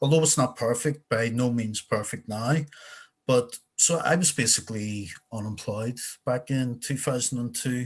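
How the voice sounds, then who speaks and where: Against a quiet background, a man's somewhat breathy voice shows ordinary pitch variation. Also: medium pitch for a man, moderate pace. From Northern Ireland, North Belfast. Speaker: program alumnus. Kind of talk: interview.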